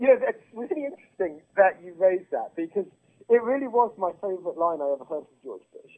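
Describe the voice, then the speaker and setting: Intonation is lively, in a British accent. The pace runs fairly quick. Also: man. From Britain. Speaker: political writer and activist. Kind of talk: political interview.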